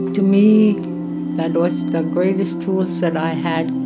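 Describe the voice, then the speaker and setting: Loud music plays in the background as a woman talks at a very slow pace. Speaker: community counsellor. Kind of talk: documentary interview answer. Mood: reflective, earnest. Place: home room.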